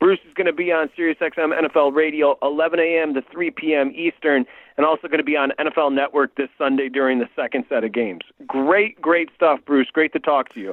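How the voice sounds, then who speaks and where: A man talks at a fairly quick pace with ordinary pitch variation in an unremarkable speaking voice. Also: fairly high pitch for a man. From Michigan. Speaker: sports radio host. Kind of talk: radio interview.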